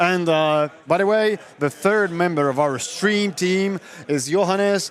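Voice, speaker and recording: With a Polish accent, a man with a high pitch talks at a fairly slow pace, with ordinary pitch variation, very even loudness and noticeable background noise. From Poland. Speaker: tournament stream commentator. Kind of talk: live commentary. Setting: live stream at event venue. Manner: halting.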